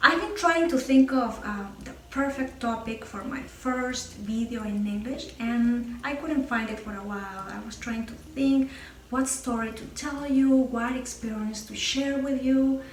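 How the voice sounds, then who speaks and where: In a strong Peruvian accent, a woman with a high pitch and ordinary pitch variation speaks amid noticeable background noise and audible room echo. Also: fairly slow pace, big swings in loudness. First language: Spanish. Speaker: YouTuber, former English teacher. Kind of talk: casual vlog talk to camera. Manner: some hesitations with uh.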